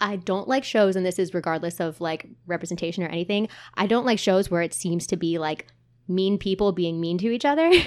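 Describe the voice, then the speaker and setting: Using an ordinary speaking voice, a woman talks at a fairly quick pace and medium pitch with ordinary pitch variation on a very clean recording with a silent background. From New Jersey (Montclair). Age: 20s. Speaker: theater marketing manager. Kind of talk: casual chat.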